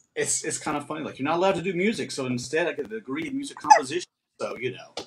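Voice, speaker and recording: The delivery is very fast, with very wide pitch swings. Loud background noise fills the clip. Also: man, high pitch for a man. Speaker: performing arts director and host. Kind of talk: casual conversation on live stream. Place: home room. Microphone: webcam.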